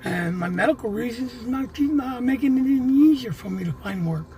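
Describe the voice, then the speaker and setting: There is noticeable background noise in this clip. A man is speaking. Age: 60s. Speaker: homeless veteran. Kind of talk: interview testimony.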